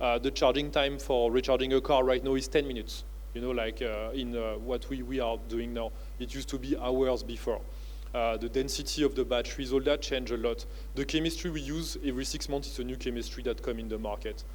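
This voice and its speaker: A man with a French accent speaks at a very fast pace. There is audible room echo. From France (family from Uttar Pradesh, India). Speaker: business founder and professor. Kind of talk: keynote speech. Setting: conference stage with audience. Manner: hesitant, many filler words.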